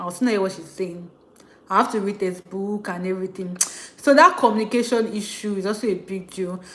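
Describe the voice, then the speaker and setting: A woman with a Nigerian accent talks at a very fast pace in an animated tone and medium pitch. Noticeable background noise runs behind her. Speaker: international student vlogger. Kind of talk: livestream rant. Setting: live stream.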